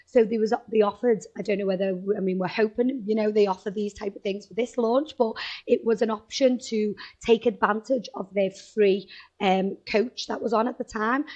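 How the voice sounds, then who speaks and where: A woman with a Liverpool accent and a fairly high pitch talks at a moderate pace, her intonation fairly even but her loudness swinging widely. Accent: Liverpool (Scouse). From Liverpool, northern England. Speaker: travel agent. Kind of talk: interview.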